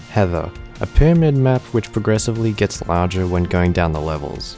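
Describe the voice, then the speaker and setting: Music plays behind a man whose pitch is very deep and low. He speaks at a moderate pace with ordinary pitch variation. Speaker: gaming YouTuber. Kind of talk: gaming tutorial narration.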